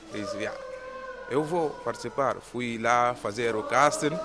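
Noticeable background noise surrounds a man whose pitch is fairly high. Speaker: theatre trainee and police officer. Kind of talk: interview.

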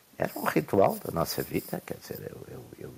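At a moderate pace, a man speaks with vocal fry. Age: old. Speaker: political commentator. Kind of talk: casual chat.

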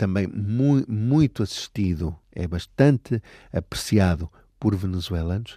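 In a very clean recording with a silent background and a dry, close sound with no echo, a man with a dark, mellow tone and fairly low pitch speaks very slowly with lively intonation. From Portugal, Aveiro region. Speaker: language education coordinator. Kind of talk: interview.

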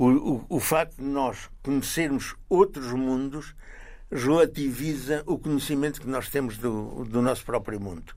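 A man with a fairly high pitch talks at a fairly slow pace, his pitch varying in an ordinary way. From central Portugal, near Coimbra. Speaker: journalist and travel writer. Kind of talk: interview. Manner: halting, with many repetitions.

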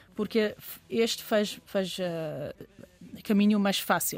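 Fairly slow and fairly even in intonation, a woman speaks with a Persian accent. Her pitch is fairly high. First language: Persian (speaking Portuguese). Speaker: biologist. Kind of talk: interview. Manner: halting.

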